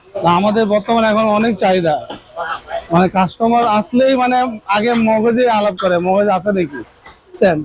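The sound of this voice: Speaking at a moderate pace, a man with a high pitch and a slightly mellow tone shows ordinary pitch variation.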